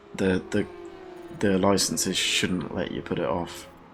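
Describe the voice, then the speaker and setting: A man with a very deep, low pitch talks at a fairly slow pace through noticeable background noise. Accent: British. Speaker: gaming YouTuber. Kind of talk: video game review. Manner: casual, halting with repetitions.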